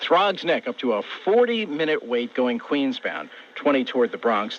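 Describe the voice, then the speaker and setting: Over noticeable background noise, a man's voice moves through very wide pitch swings. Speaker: radio traffic reporter. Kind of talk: radio traffic report.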